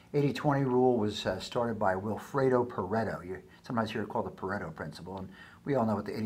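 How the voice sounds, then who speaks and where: With audible room echo, a man talks at a very fast pace with ordinary pitch variation. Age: 60s. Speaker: business educator. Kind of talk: tutorial. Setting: recorded screencast with daughter reading slides. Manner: casual, halting with fillers.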